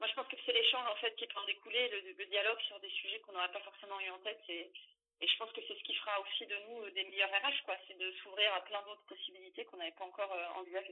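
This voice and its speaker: The speech comes at a very fast pace with fairly even intonation. Loudness swings widely. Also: woman, medium pitch for a woman. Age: 30s. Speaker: HR manager. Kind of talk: interview.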